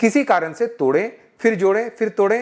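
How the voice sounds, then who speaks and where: The speaker is a man. His pitch is high. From Jamshedpur, Jharkhand (Bihari family). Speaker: IT delivery operations manager. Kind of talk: interview answer.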